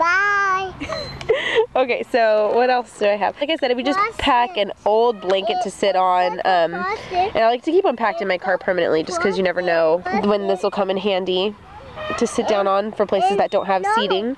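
Crowd noise fills the background as a woman speaks in a dry sound with no echo. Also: moderate pace. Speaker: parent vlogger. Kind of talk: casual vlog chat. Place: open country. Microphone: phone near.

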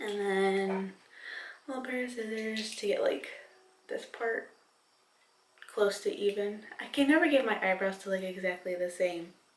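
A woman talks at a fairly slow pace with ordinary pitch variation. Audible room echo surrounds her voice. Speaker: vlogger. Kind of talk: casual vlog chat. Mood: relaxed, a bit giggly. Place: bathroom. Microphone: camera far.

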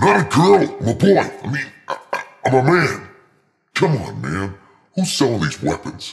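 Over faint background music, a man does a put-on character voice with a robotic, processed sound, vocal fry and a slightly husky edge, speaking at a fairly slow pace with very wide pitch swings. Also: medium pitch for a man.

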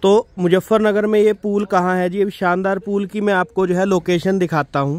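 At a moderate pace, a man speaks with a high pitch and fairly even intonation.

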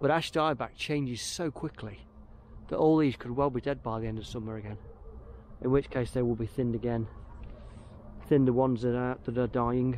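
Recorded dry with no echo and light background noise, a man talks fairly quickly with ordinary pitch variation. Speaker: woodland worker vlogger. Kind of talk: casual vlog chat. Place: forest. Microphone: phone near.

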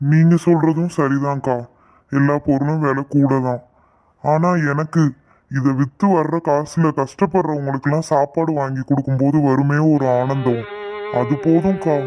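Using a cartoonish character voice, a man speaks fairly slowly at a fairly high pitch, with fairly even intonation and very even loudness. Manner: chatty, loud hawking.

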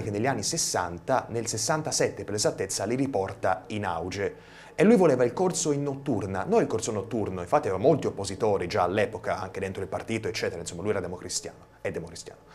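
Talking fairly quickly with lively intonation, a man barely pauses at all. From Tuscany, Versilia (Pietrasanta); Tuscany, Italy. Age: 20s. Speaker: young TV director and videomaker; guest. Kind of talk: TV studio interview. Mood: relaxed, friendly. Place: studio. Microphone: lapel.

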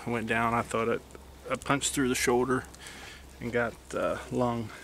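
In an Appalachian accent, the speaker holds a monotone, flat intonation, with a dry sound, no echo and light background noise. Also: man. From West Virginia. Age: 40s. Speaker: deer hunter video blogger. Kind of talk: outdoor hunting vlog narration. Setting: outdoors in the woods. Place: forest. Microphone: phone near.

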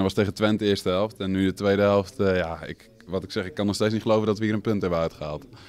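Very fast delivery in monotone, flat intonation. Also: man. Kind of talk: post-match interview answer. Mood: relieved, disbelieving. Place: hall. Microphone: handheld.

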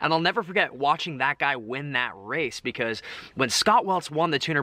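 Very fast and with lively intonation, a man talks in a dry sound with no echo. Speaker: vlogger. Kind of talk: casual vlog chat, Q&A answers. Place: garden. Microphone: phone near.

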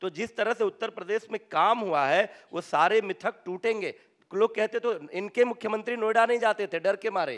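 In a quiet background, a man speaks with a high voice. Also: ordinary pitch variation, moderate pace. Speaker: politician guest. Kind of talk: debate answer. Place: stage. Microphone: handheld.

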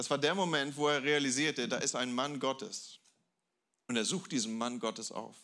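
The voice has a bright, sharp tone and ordinary pitch variation. It moves at a moderate pace over a quiet background. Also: man, fairly high pitch for a man. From Germany, Hamburg; Germany. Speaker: guest pastor; preacher. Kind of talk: sermon. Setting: church with audience. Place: church. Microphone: handheld.

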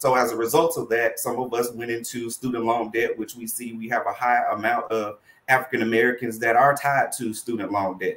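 A man at a fairly quick pace, monotone and flat in intonation, with hardly any pauses. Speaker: college student financial services administrator. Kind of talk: online panel interview. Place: home room.

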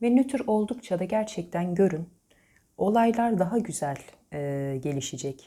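With a medium pitch, a woman speaks in very wide pitch swings. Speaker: fortune teller. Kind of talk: coffee cup reading monologue. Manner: hesitant fillers.

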